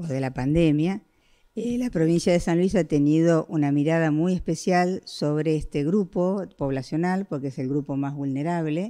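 A woman speaks at a fairly slow pace in a dark, mellow tone, her pitch very deep and low, against a quiet background. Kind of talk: press briefing answer. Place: office.

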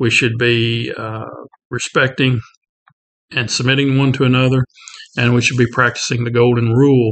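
Against a quiet background, a man speaks at a moderate pace with flat, monotone intonation. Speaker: Bible class teacher. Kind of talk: prayer then lecture. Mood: calm, reverent. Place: office. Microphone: webcam.

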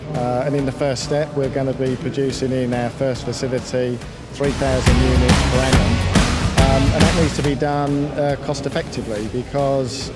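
A man talks with hardly any pauses over loud background music, the sound dry with no echo. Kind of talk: interview answer. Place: hall. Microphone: handheld.

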